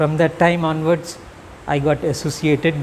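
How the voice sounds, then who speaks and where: Noticeable background noise sits behind a man's fairly high voice. He keeps a moderate pace with fairly even intonation. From India, Bihar. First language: Magahi. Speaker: academic speaker. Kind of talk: public speech.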